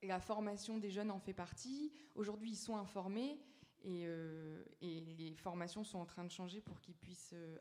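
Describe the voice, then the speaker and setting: Pitch moves in an ordinary way. The speaking speed is moderate. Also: woman. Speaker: youth panelist. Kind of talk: panel discussion. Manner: halting.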